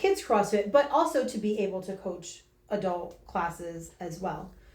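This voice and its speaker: Female speech, fairly slow, carried with audible room echo. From northern New Jersey. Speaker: fitness coach. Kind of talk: interview. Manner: loud; energetic.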